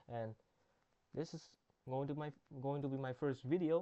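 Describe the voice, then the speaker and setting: Fairly even intonation from a man with a non-native accent. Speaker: gaming youtuber. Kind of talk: gameplay commentary. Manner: halting, self-correcting.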